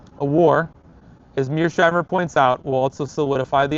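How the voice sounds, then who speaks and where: The man's fairly high voice moves at a moderate pace, and its pitch varies in an ordinary way. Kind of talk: dramatic reading of a political essay.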